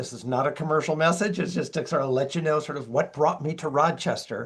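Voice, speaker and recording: Speaking at a fairly quick pace with a Minnesota accent, a man with a fairly high pitch keeps his intonation fairly even. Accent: Minnesota accent, occasional long vowels. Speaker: LGBTQ+ educator and speaker. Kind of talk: webinar presentation. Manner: casual, conversational.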